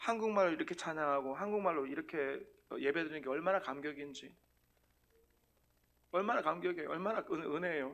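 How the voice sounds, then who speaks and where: A man speaks at a very fast pace with a high pitch. His intonation is lively. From South Korea, Sangju, North Gyeongsang. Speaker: missionary preacher. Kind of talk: sermon. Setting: church. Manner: loud; animated.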